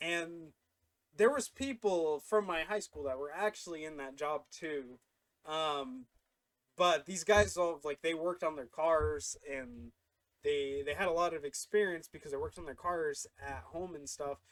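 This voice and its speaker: Talking at a fairly slow pace, a man with a fairly high pitch shows ordinary pitch variation and big swings in loudness. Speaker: YouTuber. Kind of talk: casual storytime vlog. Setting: home studio. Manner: halting, many fillers.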